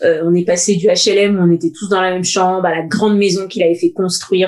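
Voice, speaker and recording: A woman speaks at a fairly quick pace and a medium pitch in a monotone, flat intonation. Noticeable background noise is present. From Paris suburbs (Seine-Saint-Denis). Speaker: podcast co-host. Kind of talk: casual chat.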